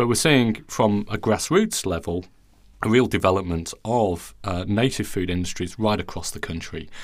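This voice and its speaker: The speaker has a non-native accent and ordinary pitch variation. The pace is moderate on a very clean recording with a silent background. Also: man, fairly low pitch for a man. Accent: non-Australian foreign. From outside Australia. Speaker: plant biology professor and podcast host. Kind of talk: interview conversation. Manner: hesitant, many fillers.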